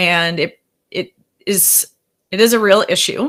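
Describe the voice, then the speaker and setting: A woman with a strong Wisconsin accent, medium pitch and ordinary pitch variation, on a very clean recording with a silent background. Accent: thick Wisconsin. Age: 40s. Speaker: therapist. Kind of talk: workshop presentation.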